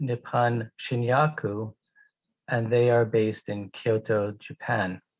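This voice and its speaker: A somewhat breathy man with an American accent, medium pitch, ordinary pitch variation and a very slow pace, dry and close with no echo. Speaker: pharmaceutical company executive. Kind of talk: conference presentation. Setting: online conference. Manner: slow, deliberate for interpreter.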